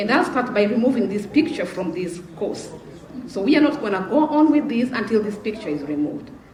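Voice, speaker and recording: Fairly high in pitch, a woman talks at a fairly quick pace in an animated tone with very wide pitch swings. Room echo is audible, along with noticeable background noise. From Africa. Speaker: panelist. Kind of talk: panel discussion.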